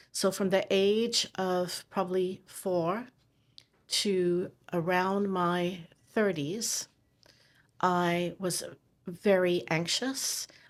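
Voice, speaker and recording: A woman speaks with a fairly low voice and fairly even intonation. The recording is very clean, with a silent background. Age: 60s. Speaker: TV producer and chronic pain patient. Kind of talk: interview testimony.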